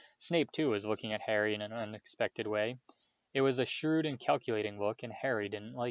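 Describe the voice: Someone is doing plain reading aloud. The background is quiet.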